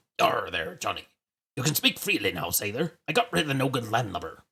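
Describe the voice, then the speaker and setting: A man puts on a gruff character voice at a medium pitch, talking at a fairly quick pace. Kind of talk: pirate slang. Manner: gruff, muttering.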